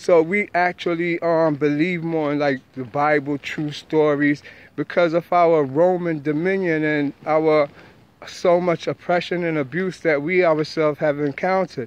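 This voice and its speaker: In a New York accent, a man with a fairly high pitch speaks at a fairly slow pace with fairly even intonation, the sound dry with no echo. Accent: New York (Bronx). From New York, the Bronx. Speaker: spiritual teacher vlogger. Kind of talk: monologue lecture. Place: street. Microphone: phone near.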